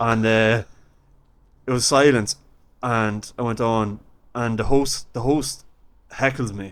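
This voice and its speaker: With an Irish accent, a man speaks at a very slow pace, leaving long, frequent pauses in fairly even intonation. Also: medium pitch for a man. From Ireland. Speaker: stand-up comedian. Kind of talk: podcast interview anecdote.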